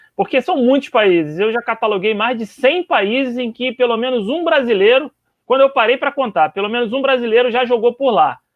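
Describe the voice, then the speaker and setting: A man with an extremely high voice speaks at a moderate pace with ordinary pitch variation. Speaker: sports blogger and live interviewer. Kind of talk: live-streamed interview. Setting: Facebook live stream.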